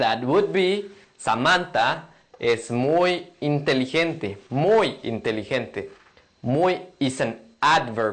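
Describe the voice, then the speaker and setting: The speech moves at a very slow pace with lively intonation. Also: man, fairly high pitch for a man. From Mexico. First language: Spanish. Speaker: language teacher. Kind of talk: tutorial.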